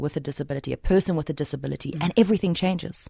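Her voice sits at a fairly low pitch for a woman, with ordinary pitch variation. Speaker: radio host. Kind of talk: radio interview. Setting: studio.

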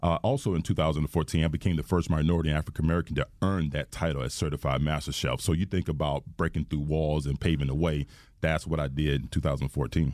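In a very clean recording with a silent background, a man with a very deep, low voice and vocal fry speaks very fast, with hardly any pauses, fairly even intonation and very even loudness. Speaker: chef. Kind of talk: casual interview. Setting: studio.

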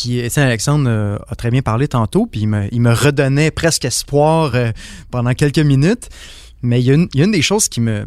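On a very clean recording with a silent background, a man with a normal speaking voice and a medium pitch talks at a moderate pace with ordinary pitch variation. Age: young. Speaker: high school teacher. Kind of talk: panel discussion.

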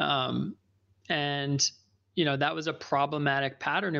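Over a quiet background, a man with a fairly high pitch speaks with vocal fry. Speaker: life coach. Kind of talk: casual monologue. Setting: live session with listeners. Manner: conversational, with frequent fillers.

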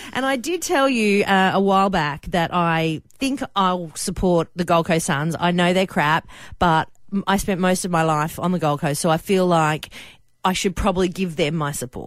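With an Australian accent, a woman speaks in an animated tone at a moderate pace. Her pitch is fairly low, with ordinary pitch variation. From Australia, Sydney and Queensland. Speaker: radio host. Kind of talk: radio segment, casual talk. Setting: radio studio. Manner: animated, laughing.

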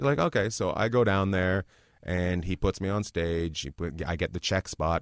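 A man with a Canadian accent speaks at a moderate pace in a very deep, low voice with ordinary pitch variation. The sound is dry and close, with no echo, on a very clean recording with a silent background. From Canada, Terrace, British Columbia. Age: 40s. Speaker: stand-up comedian. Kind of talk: casual interview chat. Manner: animated.

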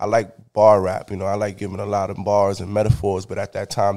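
Speaking very fast with a New York accent, a man with a fairly low pitch and a dark, mellow tone is heard on a very clean recording with a silent background. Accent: New York City. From Bronx, New York. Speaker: rapper. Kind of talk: casual interview.

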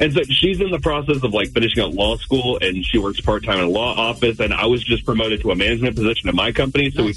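Over music in the background, a medium-pitched man talks at a very fast pace with lively intonation. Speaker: radio show caller. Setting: phone.

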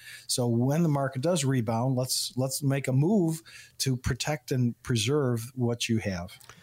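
A somewhat breathy man talks at a moderate pace with medium pitch and ordinary pitch variation. The recording is very clean, with a silent background. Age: 60s. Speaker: financial advisor and radio show guest expert. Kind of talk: radio talk show chat.

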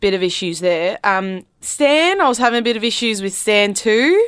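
In a fairly high pitch, a woman speaks with an Australian accent, lively intonation and a fairly slow pace. The recording is very clean, with a silent background. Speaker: radio host. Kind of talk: radio DJ patter, upbeat banter and song intros. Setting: studio. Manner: animated.

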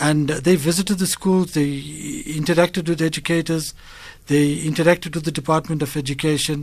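A man speaks fairly quickly at a fairly high pitch in a monotone, flat intonation. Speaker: CEO of a blindness organisation. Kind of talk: radio interview. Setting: studio. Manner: halting, many fillers and repetitions.

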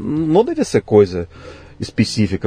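A man speaks with a Russian accent. Noticeable background noise can be heard. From Russia, Siberia (Tomsk). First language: Russian (speaking Portuguese). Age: 50s. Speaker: physics professor. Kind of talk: interview. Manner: hesitant, with fillers.

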